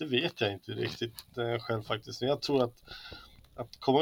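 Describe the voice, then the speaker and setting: This man talks at a medium pitch with ordinary pitch variation and some vocal fry. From Sweden, Hälsingland (Arbro near Bollnäs). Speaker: communist party member and musician. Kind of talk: casual interview. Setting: remote call from a hotel room.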